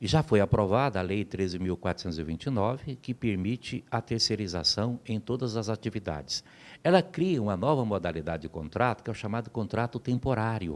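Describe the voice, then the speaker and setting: An ordinary speaking voice at a fairly quick pace, with lively intonation and hardly any pauses, on a very clean recording with a silent background. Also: man, fairly low pitch for a man. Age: 60s. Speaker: labor lawyer. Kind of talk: interview. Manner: formal.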